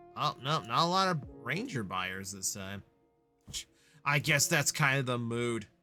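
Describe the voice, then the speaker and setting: Music plays in the background. A man talks at a moderate pace and a medium pitch. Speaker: vtuber streamer. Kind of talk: live stream chat with viewers. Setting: live stream. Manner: casual, with many fillers; loud, near the top of the meters.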